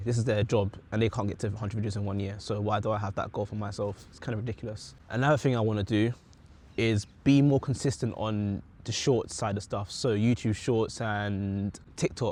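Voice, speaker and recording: A man's fairly low, fairly quick voice in a British accent. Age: 20s. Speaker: vlogger. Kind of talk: casual chat. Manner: passionate, animated.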